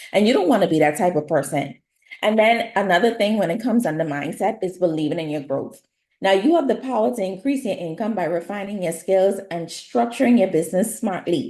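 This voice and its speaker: A woman with a Bahamian accent talks at a fairly quick pace in a dark, mellow tone at a medium pitch. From Bahamas. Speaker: nail artist and beauty business educator. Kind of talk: webinar presentation.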